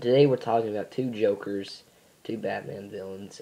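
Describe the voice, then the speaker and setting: At a moderate pace, a man talks with fairly even intonation amid noticeable background noise. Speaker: YouTuber. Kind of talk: casual vlog commentary. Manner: halting, many fillers.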